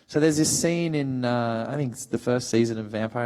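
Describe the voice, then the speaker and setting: With an Australian accent, a man talks at a moderate pace and ordinary pitch variation. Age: 30s. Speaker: actor. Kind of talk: panel talk. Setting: stage with audience. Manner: animated.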